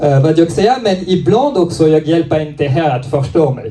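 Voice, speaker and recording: Over noticeable background noise and audible room echo, a man speaks in a high pitch with lively intonation. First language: French (speaking Swedish). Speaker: stand-up comedian. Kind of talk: stand-up. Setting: comedy club stage with audience. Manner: halting, many fillers.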